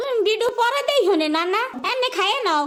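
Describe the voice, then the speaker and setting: A woman does a cartoonish character voice at an extremely high pitch. She keeps a moderate pace. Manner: homely, scolding.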